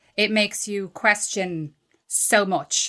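Against a quiet background, a woman with an Irish accent speaks fairly slowly in a fairly high pitch, her tone bright and sharp. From Ireland. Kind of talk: casual chat.

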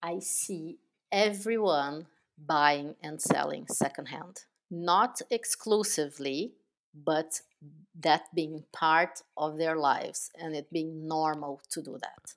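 Speaking at a very slow pace, a woman with a very deep, low pitch shows ordinary pitch variation and big swings in loudness. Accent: Portuguese. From southern Brazil, Porto Alegre. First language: Portuguese. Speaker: business founder. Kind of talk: interview.

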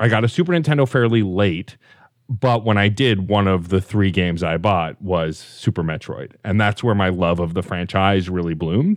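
In a very clean recording with a silent background, a man uses a normal speaking voice at a fairly low pitch, with ordinary pitch variation and a moderate pace. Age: 40s. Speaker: podcast producer and host. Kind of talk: casual chat. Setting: in person with hosts.

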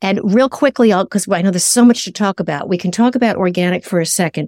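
This woman has a plain, everyday voice at a medium pitch with lively intonation. The recording is very clean, with a silent background. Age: 60s. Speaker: nutritionist and author. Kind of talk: interview.

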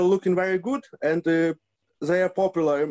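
This man speaks with a Ukrainian accent. His pitch is high. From Ukraine, Lviv. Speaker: football fan. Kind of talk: interview. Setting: video call. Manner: halting.

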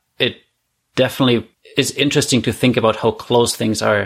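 In a German accent, a man speaks at a fairly quick pace with a medium pitch, on a very clean recording with a silent background. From Germany, Heilbronn. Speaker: guest, immigrant to Canada. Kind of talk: casual interview chat.

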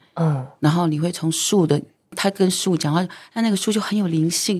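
Very clean recording and silent background, a woman at a fairly low pitch with ordinary pitch variation. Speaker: singer and former TV host. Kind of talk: casual chat. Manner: animated.

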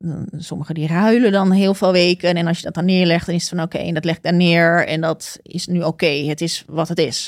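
Fairly low in pitch, a woman talks at a very fast pace with hardly any pauses. Her intonation stays fairly even on a very clean recording with a silent background. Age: 40s. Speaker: podcast guest on career break. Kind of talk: casual interview.

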